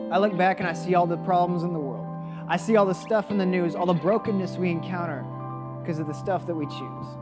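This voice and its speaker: Over background music, a man with a high voice talks very fast with ordinary pitch variation. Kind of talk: spoken word poetry with a religious message. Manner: rhythmic, rhyming, impassioned delivery.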